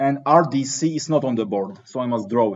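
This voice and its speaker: A man speaks with a non-native accent. His pitch is medium. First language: not English. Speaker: teaching assistant leading engineering discussion section. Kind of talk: lecture. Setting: classroom with students. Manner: conversational, interactive.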